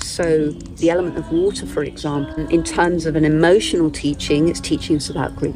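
Clear music plays behind a woman who speaks at a moderate pace with fairly low pitch, the sound dry with no echo. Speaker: nature-based spiritual guide. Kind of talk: interview answer. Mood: calm, reflective, heartfelt. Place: open country. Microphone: lapel.

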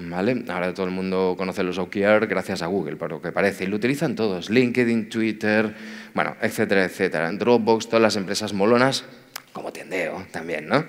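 Speaking at a fairly quick pace, a man with a fairly low pitch and ordinary pitch variation has an ordinary speaking voice. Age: 40s. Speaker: tech executive, conference speaker. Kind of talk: conference talk.

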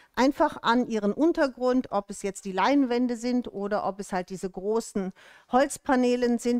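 A woman speaks at a fairly slow pace with lively intonation, the sound dry with no echo and the background quiet. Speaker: shop host presenting products. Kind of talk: livestream presentation. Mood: cheerful, welcoming. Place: studio. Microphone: headset.

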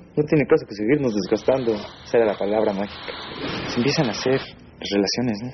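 Over noticeable background noise, a man talks very fast at medium pitch with ordinary pitch variation. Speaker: former student gang member; interviewee. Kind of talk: personal testimony. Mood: reflective, slightly smiling.

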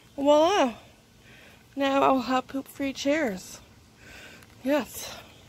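A woman speaks at a very slow pace in a high pitch with ordinary pitch variation. Her sound is dry with no echo. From Canada. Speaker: vlogger. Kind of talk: casual vlog narration. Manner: chatty, frequent laughter; halting with fillers.

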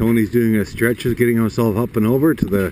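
At a moderate pace, a man talks with a medium pitch and a dark, mellow tone.

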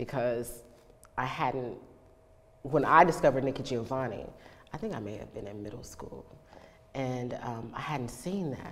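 A woman with an American accent speaks at a moderate pace with a very deep, low pitch. Her loudness swings widely, and she takes long, frequent pauses. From East Texas. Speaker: actress and poet. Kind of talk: interview answer. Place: home room.

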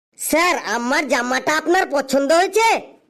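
The pitch is high in this cartoonish character voice. It moves at a moderate pace. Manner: cheerful, glib.

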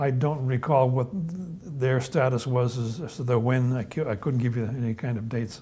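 With a dark, mellow tone, the voice moves at a moderate pace with fairly even intonation. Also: man, medium pitch for a man.

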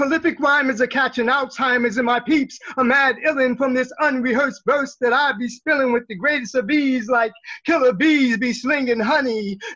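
Speaking at a moderate pace with an American accent, a man projects a raised voice at an extremely high pitch, his tone bright and sharp, his intonation fairly even, over a quiet background. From New York. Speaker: poet. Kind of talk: poetry reading. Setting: video call. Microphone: video call.

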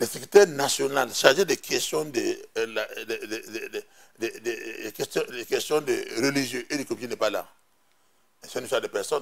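A man speaks with a Burkinabe accent. His pace is very slow. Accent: Burkinabè French. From Burkina Faso. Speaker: politician, party executive; politician. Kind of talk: TV interview, political debate. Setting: TV studio. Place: studio. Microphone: lapel.

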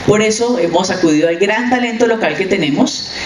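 Over clear background noise, a woman talks at a fairly quick pace with ordinary pitch variation.

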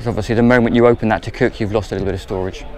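A man speaks with fairly even intonation in a dry sound with no echo, over light background noise. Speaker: presenter. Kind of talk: tour commentary. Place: boat. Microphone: phone near.

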